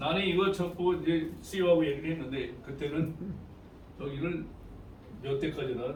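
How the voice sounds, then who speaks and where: With noticeable background noise and audible room echo, a man with a fairly high pitch talks at a moderate pace, leaving long, frequent pauses. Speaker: network marketing presenter. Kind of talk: sales pitch. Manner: loud.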